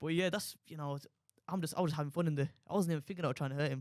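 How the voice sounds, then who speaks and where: Talking at a very fast pace, a man has a fairly high pitch and an animated tone. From Walsall, West Midlands, England. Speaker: professional boxer. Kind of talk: podcast interview.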